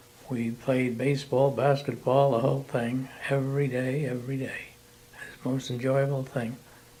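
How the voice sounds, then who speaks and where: A man in an American accent, medium-pitched and monotone, at a moderate pace, with noticeable background noise. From San Francisco, California, US. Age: 90s. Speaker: retired bank employee. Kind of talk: oral history interview.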